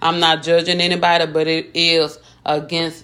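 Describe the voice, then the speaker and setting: A woman's very deep, low voice in an American accent, animated in tone and fairly slow in pace, in a very clean recording with a silent background. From East Texas (Tyler County, small town). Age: 40s. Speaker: video blogger. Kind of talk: casual vlog monologue / rant.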